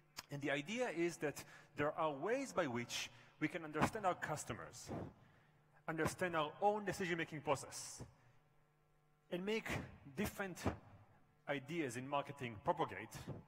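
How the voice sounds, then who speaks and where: Fairly high in pitch, a man speaks at a moderate pace with lively intonation. He leaves long, frequent pauses. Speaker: professor. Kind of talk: conference keynote.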